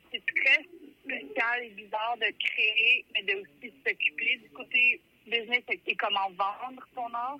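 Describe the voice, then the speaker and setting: Lively intonation marks this woman's high-pitched voice. She talks at a very slow pace. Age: 30s. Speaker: musician. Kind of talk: interview.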